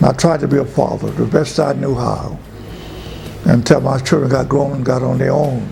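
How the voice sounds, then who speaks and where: Over noticeable background noise, a man with a fairly high pitch talks at a moderate pace. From US South, rural Georgia. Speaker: pastor. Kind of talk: life story interview.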